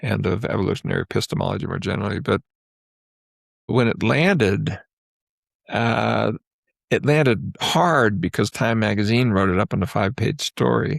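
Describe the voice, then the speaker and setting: On a very clean recording with a silent background and a dry, close sound with no echo, a man with a fairly low pitch and vocal fry speaks with lively intonation and long, frequent pauses. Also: moderate pace. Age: 70s. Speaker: psychologist. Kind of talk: interview conversation.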